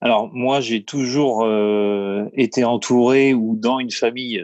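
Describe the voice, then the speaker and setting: Delivery is very slow, with fairly even intonation. The sound is dry and close, with no echo. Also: man. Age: 30s. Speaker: building business owner and property investor. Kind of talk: interview. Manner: hesitant, many fillers.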